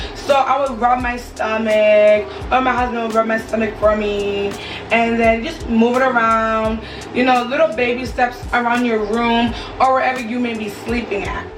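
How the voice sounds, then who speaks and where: Music plays in the background and room echo is audible as a woman with an American accent speaks at a moderate pace, with fairly high pitch and fairly even intonation. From Connecticut. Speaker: vlogger. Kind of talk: casual advice vlog. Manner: chatty, conversational.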